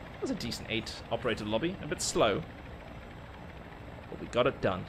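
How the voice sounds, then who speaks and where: A man speaks at a fairly quick pace with lively intonation and big swings in loudness. His voice is somewhat breathy. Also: medium pitch for a man. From Dubai (South African, raised in UAE). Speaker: gaming livestreamer. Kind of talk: livestream gameplay commentary.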